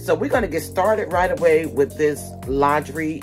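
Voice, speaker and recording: Clear music can be heard in the background. Over it, a woman talks at a moderate pace. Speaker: lifestyle vlogger. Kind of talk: casual vlog chat. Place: home room. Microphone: phone near.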